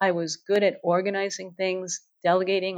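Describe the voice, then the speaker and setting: A woman with an American accent speaks fairly quickly in an unremarkable speaking voice. Her pitch is medium, and the background is quiet. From US, New York City. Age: 60s. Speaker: former engineer, author and speaker. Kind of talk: interview.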